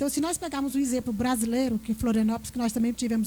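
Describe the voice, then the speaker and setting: High in pitch yet dark and mellow in tone, a woman speaks with a Piauí accent. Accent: Piauí northeastern Brazilian. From Piauí, northeastern Brazil. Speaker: panelist, innovation speaker. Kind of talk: panel discussion.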